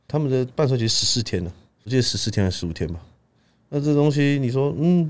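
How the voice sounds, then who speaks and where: Lively intonation and a very fast pace come through on a very clean recording with a silent background. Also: man, medium pitch for a man. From Taiwan, Taichung. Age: 20s. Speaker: powerlifting coach and athlete. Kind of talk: casual chat.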